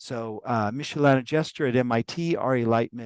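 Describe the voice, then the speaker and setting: A man speaks with lively intonation. The sound is dry and close with no echo, against a quiet background. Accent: West Coast American. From US West Coast. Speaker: professor. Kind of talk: webinar introduction. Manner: casual, hesitant with fillers.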